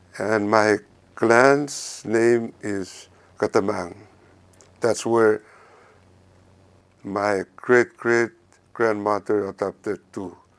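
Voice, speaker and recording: With a Micronesian accent, a man speaks at a very slow pace and fairly low pitch with fairly even intonation, leaving long, frequent pauses, in a very clean recording with a silent background and a dry, close sound with no echo. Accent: Micronesian (Satawalese) English. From Satawal, Caroline Islands, Micronesia. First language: Satawalese. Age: 60s. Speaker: preschool teacher. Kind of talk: interview. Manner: halting.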